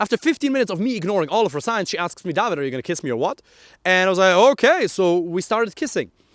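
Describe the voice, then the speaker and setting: A man with a German accent talks in a high pitch, his voice making very wide pitch swings. The recording is very clean, with a silent background and a dry, close sound with no echo. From Germany. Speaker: dating coach. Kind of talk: motivational talk to camera. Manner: animated.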